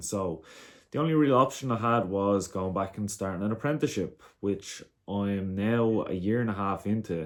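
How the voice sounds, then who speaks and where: In a very clean recording with a silent background, a man with an Irish accent speaks in a fairly low pitch with lively intonation. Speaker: vlogger, amateur boxer. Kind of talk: casual monologue.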